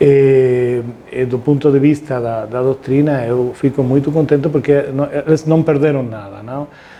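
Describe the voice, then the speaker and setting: A man with a Spanish accent speaks at a fairly slow pace, in a fairly high pitch with fairly even intonation. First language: Spanish (speaking Portuguese). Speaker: constitutional law professor. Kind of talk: interview. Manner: halting.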